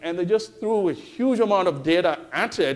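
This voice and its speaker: The pitch of this man's voice varies in an ordinary way. He keeps to a moderate pace. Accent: Tamil. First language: Tamil. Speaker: professor. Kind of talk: conference talk. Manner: frequent fillers (okay, uh).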